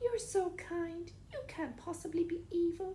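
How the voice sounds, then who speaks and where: A woman does a put-on character voice at an extremely high pitch, with clear background noise. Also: moderate pace, ordinary pitch variation. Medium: read story.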